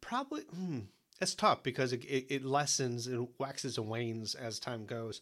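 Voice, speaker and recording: Speaking at a moderate pace, a man has a medium pitch, ordinary pitch variation, and a plain, everyday voice. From Detroit area, Michigan. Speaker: podcast co-host and author. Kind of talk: interview.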